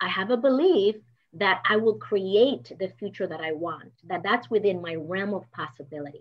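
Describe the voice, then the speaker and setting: A woman speaks with a Spanish accent at a moderate pace. Her voice sits at a medium pitch, and her intonation is lively. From Dominican Republic. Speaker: business coach. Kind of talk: motivational talk.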